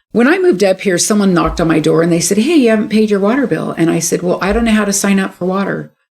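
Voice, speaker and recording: A woman with a Californian accent talks very fast at a medium pitch, with ordinary pitch variation, very even loudness and hardly any pauses. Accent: Californian American English. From California, San Francisco Bay Area. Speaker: local political candidate and clinical supervisor. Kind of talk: interview.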